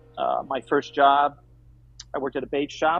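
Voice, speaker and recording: A fairly high-pitched male voice over music in the background. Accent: American. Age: 60s. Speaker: aquarium company owner. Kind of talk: interview.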